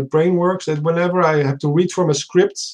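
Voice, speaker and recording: With a Dutch accent, a man delivers his words at a moderate pace in a monotone, flat intonation. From Netherlands. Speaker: aspiring science YouTuber. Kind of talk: casual panel discussion. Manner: halting, many restarts.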